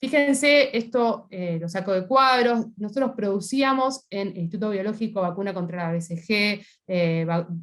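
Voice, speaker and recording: Hardly pausing, a woman talks at medium pitch with ordinary pitch variation. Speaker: scientist. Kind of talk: panel talk. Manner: fast.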